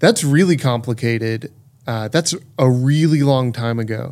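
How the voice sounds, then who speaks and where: Here is a man with an American accent and an unremarkable speaking voice. He talks at a moderate pace in a fairly high pitch with ordinary pitch variation. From Texas. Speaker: podcast host. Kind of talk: podcast discussion.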